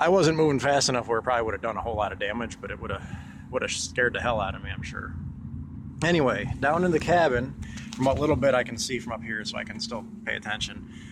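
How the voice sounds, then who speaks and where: Noticeable background noise sits behind a man with a medium pitch. He speaks at a very fast pace with lively intonation. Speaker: amateur sailor, boat owner. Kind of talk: casual talk to camera. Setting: outdoors. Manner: rambling, many filler words.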